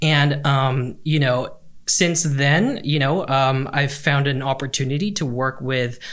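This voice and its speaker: A man talks at a fairly slow pace in an ordinary speaking voice, fairly high in pitch, with fairly even intonation. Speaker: learning and development guest. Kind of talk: podcast interview.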